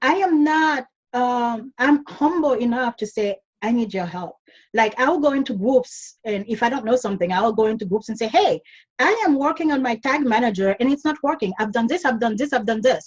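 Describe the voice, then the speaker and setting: Her intonation lively, a woman speaks in a high pitch. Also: fairly quick pace. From Caribbean, Dominica. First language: not English (English is fifth language). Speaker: online business coach. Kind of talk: podcast interview.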